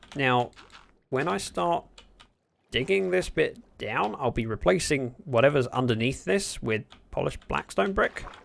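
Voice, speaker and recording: A man with a British accent at medium pitch, very wide pitch swings, a fairly slow pace and long, frequent pauses. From Britain. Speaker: Minecraft streamer. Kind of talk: casual livestream gameplay commentary. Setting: livestream.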